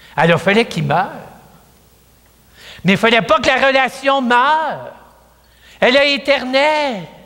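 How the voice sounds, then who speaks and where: Pitch swings very widely, and audible room echo surrounds the voice. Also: man. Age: 70s. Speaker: priest. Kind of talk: sermon. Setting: church. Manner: conversational.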